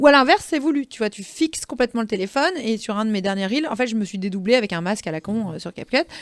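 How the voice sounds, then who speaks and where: At a fairly quick pace, a woman with a fairly high pitch speaks in an animated tone with lively intonation, the recording very clean with a silent background and a dry, close sound with no echo. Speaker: social media trainer and consultant. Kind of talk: podcast interview. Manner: fast.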